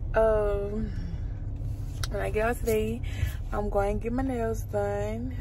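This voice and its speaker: A woman speaks at a fairly slow pace in a dry sound with no echo, with noticeable background noise present. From Louisiana. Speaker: lifestyle vlogger. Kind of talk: casual vlog. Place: car. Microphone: phone near.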